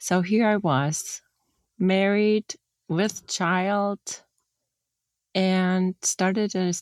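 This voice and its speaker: Someone with a German accent speaks at a very slow pace with long, frequent pauses, fairly even intonation and very even loudness, in a dry, close sound with no echo. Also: woman, medium pitch for a woman. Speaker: former industrial designer. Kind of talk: interview. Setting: podcast.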